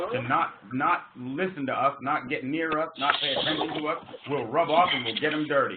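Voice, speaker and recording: A man's fairly high voice with an American accent and ordinary pitch variation, amid noticeable background noise and audible room echo. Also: moderate pace. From US Northeast. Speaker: business group leader hosting a call. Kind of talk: conference call meeting. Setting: phone conference call. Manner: animated.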